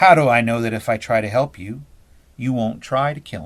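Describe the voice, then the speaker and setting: In a croaky put-on character voice, a man speaks at a fairly quick pace with a medium pitch on a very clean recording with a silent background. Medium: read story.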